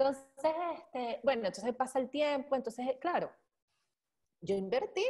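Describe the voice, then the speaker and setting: At a fairly slow tempo, a woman speaks. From Venezuela, Caracas. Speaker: bitcoin columnist; podcast guest. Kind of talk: casual interview chat; interview answer. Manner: halting, many fillers. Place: home room. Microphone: earbuds.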